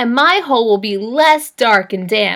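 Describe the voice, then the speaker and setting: A put-on character voice moves along at a moderate pace. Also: woman. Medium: read story.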